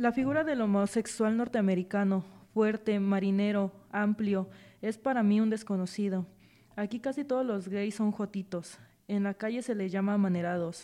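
The tone is dark and mellow. Delivery comes at a moderate pace with fairly even intonation. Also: woman, medium pitch for a woman. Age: 20s. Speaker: volunteer audiobook reader. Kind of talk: reading aloud.

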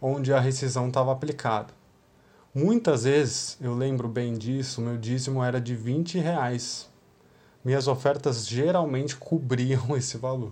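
The voice is somewhat breathy and dark and mellow, moving at a fairly slow pace with fairly even intonation. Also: man. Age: 30s. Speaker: youth church leader. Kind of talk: devotional talk.

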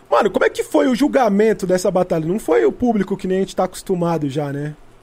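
With ordinary pitch variation, a man talks in a high pitch. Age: 30s. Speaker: podcast host. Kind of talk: casual interview. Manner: animated.

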